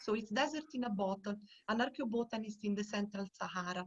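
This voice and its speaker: Fairly quick and somewhat breathy, a woman speaks in an Italian accent at a fairly high pitch with ordinary variation. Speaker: archaeobotanist researcher. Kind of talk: online lecture.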